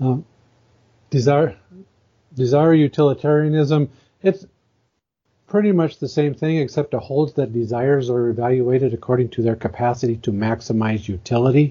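A man's medium-pitched, somewhat breathy voice with ordinary pitch variation, moderate pace, and long, frequent pauses. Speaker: moral philosophy blogger. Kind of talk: interview. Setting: phone call.

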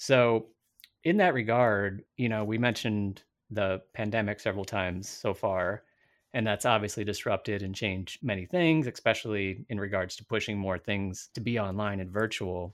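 A man with a fairly low pitch speaks in a normal speaking voice at a moderate pace with ordinary pitch variation. The recording is very clean with a silent background. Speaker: podcast host. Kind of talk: casual interview.

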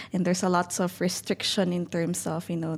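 Somewhat breathy, a woman speaks at a fairly low pitch. Her intonation is monotone and flat. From northern Philippines, Baguio City. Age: young. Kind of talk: interview. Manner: halting, many fillers.

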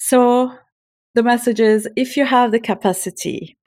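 Very slowly, a woman with a Turkish accent speaks at a fairly high pitch, recorded very cleanly against a silent background. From Turkey (Istanbul). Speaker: burnout coach for academics. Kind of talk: interview.

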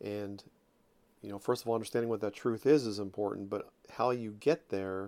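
A man's fairly low voice in a New Jersey accent, flat and monotone, at a moderate pace. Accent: New Jersey American. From South Jersey, US. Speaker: podcast host. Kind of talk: personal monologue. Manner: halting, with repeated words.

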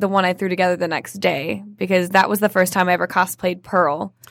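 Recorded very cleanly against a silent background, a woman uses a normal speaking voice at a medium pitch. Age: 20s. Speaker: actor and theater owner. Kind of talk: casual chat.

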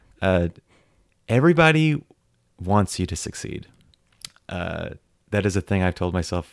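With an American accent, a man speaks at a moderate pace in a very deep, low pitch, recorded dry and close with no echo against a quiet background. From United States. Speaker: actor. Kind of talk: casual chat.

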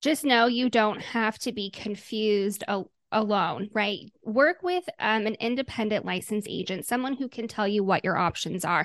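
A woman with a Midwestern American accent and a fairly high pitch speaks against a quiet background. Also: ordinary pitch variation, moderate pace, dry, close sound with no echo. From Omaha, Nebraska, US Midwest. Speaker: health insurance agent. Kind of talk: interview.

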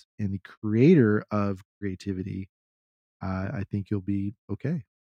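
A man speaks in a Texan accent. His pace is fairly slow, with ordinary pitch variation. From Texas. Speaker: podcast co-host. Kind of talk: casual chat.

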